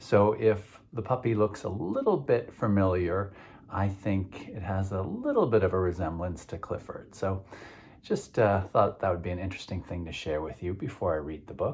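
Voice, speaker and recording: A man's voice comes across as somewhat breathy at a fairly low pitch. He talks at a moderate pace with ordinary pitch variation. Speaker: children's book author. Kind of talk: children's book read-aloud. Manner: warm, engaging, asks kids questions.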